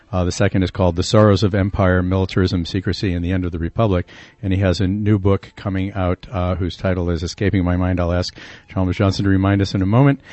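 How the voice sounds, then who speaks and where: Very deep, low male voice at a very fast pace, with monotone, flat intonation. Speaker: radio co-host. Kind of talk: radio interview. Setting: studio.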